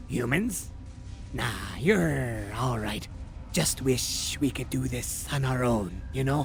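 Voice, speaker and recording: A man uses a put-on character voice at a very slow pace. Background noise is clearly heard. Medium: video game. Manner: relaxed, stoner slang, stuttering.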